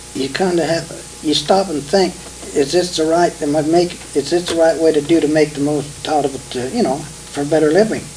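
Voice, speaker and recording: A man talks at a fairly quick pace with a Midwestern US accent and fairly even intonation. His pitch is fairly high, and there is noticeable background noise. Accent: rural Midwestern American. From Kansas. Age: 70s. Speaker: retired farmer. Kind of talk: oral history interview. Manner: halting.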